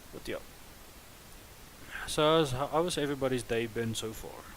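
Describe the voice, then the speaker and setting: Speaking at a moderate pace with long, frequent pauses, a man of medium pitch shows ordinary pitch variation and big swings in loudness. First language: not English. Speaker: gaming live streamer. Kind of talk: live stream gameplay chat. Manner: casual, hesitant.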